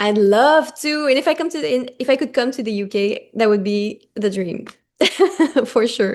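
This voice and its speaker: With a French Canadian accent, a woman speaks at a high pitch with lively intonation against a quiet background. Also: moderate pace. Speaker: singer-songwriter. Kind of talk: interview.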